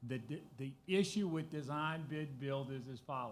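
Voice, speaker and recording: The speaker is a man. His pitch is fairly high. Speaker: school district administrator presenting construction update. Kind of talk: presentation at public board meeting. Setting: school board meeting room. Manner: soft-spoken.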